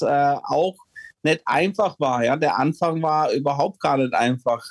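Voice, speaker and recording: A man talks at a very slow pace, the sound dry and close with no echo. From Czechoslovakia, moved to Germany at six. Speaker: former ice hockey player. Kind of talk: casual interview. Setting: home office. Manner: hesitant, many fillers.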